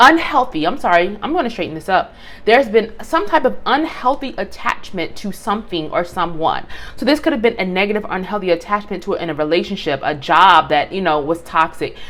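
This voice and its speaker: With noticeable background noise behind her, a woman speaks at a fairly quick pace. Her pitch makes very wide swings. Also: medium pitch for a woman. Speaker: tarot reader. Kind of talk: tarot reading video. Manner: halting, some stuttering.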